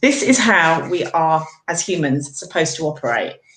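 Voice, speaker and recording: A woman speaks with a British accent. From Britain. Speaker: nutritional therapist. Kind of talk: explanation in live video chat. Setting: live video call.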